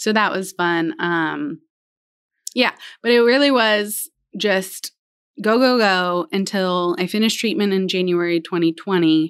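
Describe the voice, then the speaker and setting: Her unremarkable speaking voice sits at a medium pitch, with ordinary pitch variation and a fairly slow pace, as a woman speaks. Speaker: elementary school counselor, cancer survivor. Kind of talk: casual interview, personal testimony.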